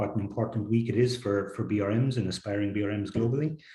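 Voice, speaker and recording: Talking fairly quickly in an Irish accent, a man has a somewhat breathy, dark, mellow voice at medium pitch. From Ireland. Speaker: technology executive. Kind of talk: interview.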